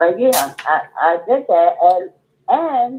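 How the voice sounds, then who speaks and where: A woman is speaking. Her pitch swings very widely. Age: 60s. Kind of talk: casual storytelling. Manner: animated.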